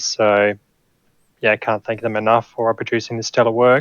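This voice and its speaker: The sound is dry and close with no echo as a man with an Australian accent speaks fairly quickly at a medium pitch. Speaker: sim racing driver. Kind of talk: post-race interview.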